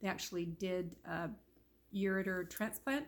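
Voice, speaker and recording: A woman speaks at medium pitch with an American accent and fairly even intonation. Vocal fry runs through her voice. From Southern Utah (St George). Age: 70s. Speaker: vlogger sharing life story. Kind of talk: personal vlog monologue. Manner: hesitant, many fillers (um, you know).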